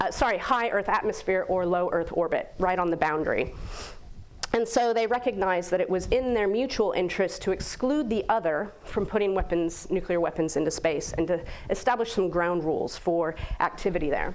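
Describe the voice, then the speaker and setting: With an American accent, a woman talks at a fairly quick pace and a medium pitch, with ordinary pitch variation and very even loudness amid audible room echo. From United States. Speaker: guest speaker on space governance. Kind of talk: lecture.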